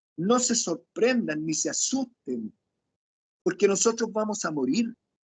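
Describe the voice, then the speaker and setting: A man speaks at a fairly slow pace with a high pitch and very wide swings in his pitch. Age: 60s. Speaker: lay preacher. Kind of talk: sermon. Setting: video call.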